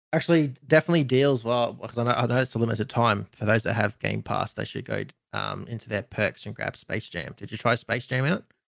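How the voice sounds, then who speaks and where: A man with an Australian accent, medium pitch and ordinary pitch variation, vocal fry, a fairly quick pace with hardly any pauses, and a dry, close sound with no echo. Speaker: streamer and content creator. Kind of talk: casual chat.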